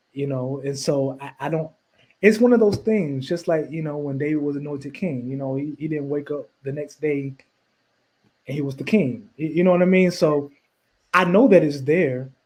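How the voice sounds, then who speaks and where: Ordinary in pitch variation, a man's fairly high voice moves at a moderate pace. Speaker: singer and minister. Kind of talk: interview. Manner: halting, many repeated words.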